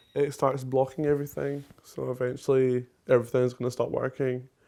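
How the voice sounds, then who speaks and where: A man speaks at a moderate pace in a medium pitch. His intonation is monotone and flat. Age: 20s. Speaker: patient with diabetes. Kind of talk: documentary interview.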